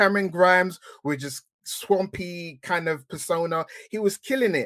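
A high-pitched man with an English accent. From England. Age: 30s. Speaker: wrestling podcaster. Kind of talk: casual chat.

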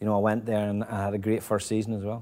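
A man with a Northern Irish accent speaks at a fairly low pitch with a dark, mellow tone, in a very clean recording with a silent background. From Northern Ireland (Ballymena). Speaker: football manager. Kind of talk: casual interview. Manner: halting, many repetitions.

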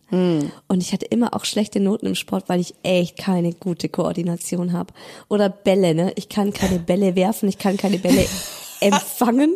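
A woman speaks at a moderate pace with a dark, mellow tone, medium pitch and ordinary pitch variation. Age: 30s. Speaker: podcast co-host. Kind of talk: casual chat.

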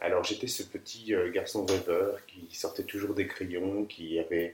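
A man at a moderate pace. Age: 30s. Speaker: landscape architect. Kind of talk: interview testimony. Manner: hesitant, with many fillers.

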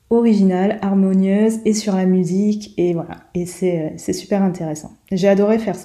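At a fairly slow pace, a woman speaks in a medium pitch with a dark, mellow tone and fairly even intonation. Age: 40s. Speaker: pole dancer and stroke survivor. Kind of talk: testimony. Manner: halting.

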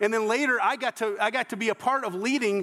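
Talking at a fairly quick pace, a man speaks with a Southern US accent. His pitch is high, with ordinary variation. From US South, Georgia. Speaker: pastor. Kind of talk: sermon. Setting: church. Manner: halting.

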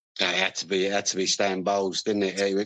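The speaker talks with a London accent. The background is quiet. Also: man. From London, Harrow. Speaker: retired footballer. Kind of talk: interview.

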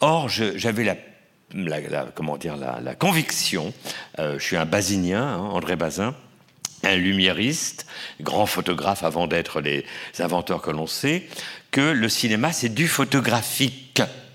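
A fairly low-pitched man at a fairly slow pace, with very wide pitch swings, long, frequent pauses and noticeable background noise. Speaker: film historian and exhibition curator. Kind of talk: panel discussion. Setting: auditorium with audience. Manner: halting with many hesitations.

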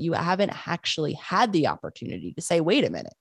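A woman with a fairly low pitch speaks with vocal fry. The sound is dry and close, with no echo. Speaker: psychologist and author. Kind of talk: interview conversation.

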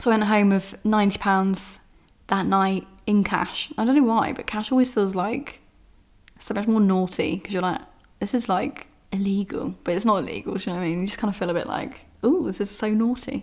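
At a fairly quick pace, a woman speaks with a medium pitch. Her pitch variation is ordinary. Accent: southern English. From southern England, Bournemouth. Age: 30s. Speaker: podcast host, former stripper and author. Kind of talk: casual monologue and reading from own book. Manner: casual, filler-heavy.

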